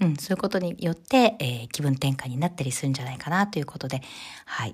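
A woman's very deep, low voice, somewhat breathy, at a fairly quick pace with lively intonation. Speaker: podcast host, image consultant. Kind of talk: solo podcast talk.

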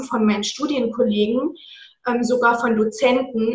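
A woman's high voice at a moderate pace, with audible room echo. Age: 20s. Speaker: anti-diet coach. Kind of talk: interview.

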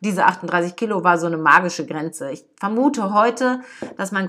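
A woman's bright, sharp voice at a moderate pace, with lively intonation. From Ruhr area, Germany (Dortmund). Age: 50s. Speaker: podcast host and life coach. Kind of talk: casual personal monologue.

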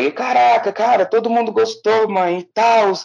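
A man with a high pitch. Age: 20s. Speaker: visual artist and art student. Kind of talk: interview.

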